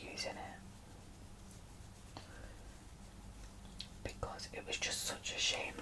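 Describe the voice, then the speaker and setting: Whispering in a relaxed tone over noticeable background noise. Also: woman. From UK. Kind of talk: ASMR makeup chat to camera. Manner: soft-spoken, chatty, relaxed.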